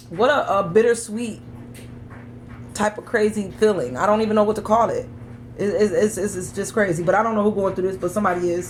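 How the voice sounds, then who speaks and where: Over noticeable background noise, a woman talks at a fairly quick pace in a medium pitch with ordinary pitch variation. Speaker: tarot reader. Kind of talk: tarot reading monologue. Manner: fast.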